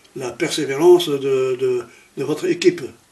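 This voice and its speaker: A man keeps his intonation fairly even while noticeable background noise runs behind him. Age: 80s+. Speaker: Jesuit priest and former teacher. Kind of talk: interview. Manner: halting.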